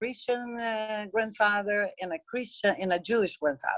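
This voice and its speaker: A woman's fairly high voice, an unremarkable speaking voice with ordinary pitch variation, at a moderate pace, in a dry, close sound with no echo. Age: 60s. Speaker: peace activist. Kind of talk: conference talk.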